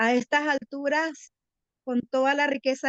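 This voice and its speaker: The sound is dry and close, with no echo. A woman speaks with fairly even intonation. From Paraguay. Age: 60s. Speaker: lawyer and retired teacher. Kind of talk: TV interview.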